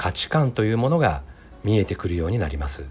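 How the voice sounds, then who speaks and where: A man speaks at a fairly low pitch, somewhat breathy, with very wide pitch swings. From Mie Prefecture, Japan (Ise). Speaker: podcaster and psychological counselor. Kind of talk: solo podcast monologue. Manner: polite, formal.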